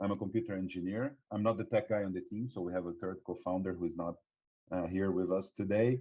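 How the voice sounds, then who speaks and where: A man with a Brazilian accent and very deep, low pitch talks at a very fast pace with fairly even intonation. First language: Portuguese. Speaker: startup co-founder. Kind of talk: podcast interview. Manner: halting.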